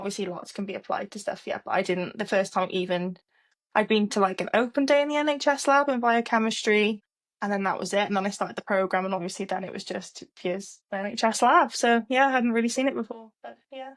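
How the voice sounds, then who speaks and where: This woman has a Cardiff accent and a fairly high pitch. She talks at a very fast pace with ordinary pitch variation. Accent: Welsh English, Cardiff. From Wales, Cardiff. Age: 20s. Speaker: trainee clinical scientist. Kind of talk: casual interview chat.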